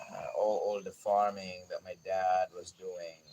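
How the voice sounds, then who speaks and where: With a Visayan Filipino accent, a man speaks over noticeable background noise. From Philippines, Bisaya-speaking region. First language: Bisaya (Cebuano). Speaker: gardening YouTuber. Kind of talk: personal life story on livestream. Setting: outdoors in garden at dawn.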